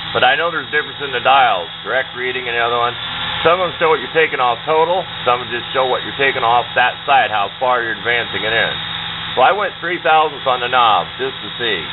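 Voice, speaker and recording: There is noticeable background noise in this clip. The speaker moves at a fairly quick pace. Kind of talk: tutorial. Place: workshop. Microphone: camera far.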